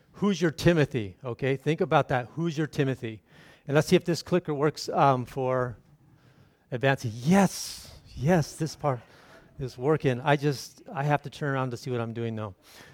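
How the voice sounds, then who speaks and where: A man with an ordinary speaking voice talks at a moderate pace, fairly high in pitch, with ordinary pitch variation. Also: dry, close sound with no echo. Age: 50s. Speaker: missionary. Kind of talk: sermon.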